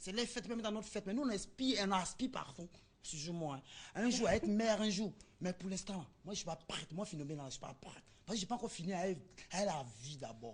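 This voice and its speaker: A woman's somewhat breathy voice at a very fast pace, with very wide pitch swings. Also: medium pitch for a woman. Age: young. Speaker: interviewee on TV show. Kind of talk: TV street interview, casual.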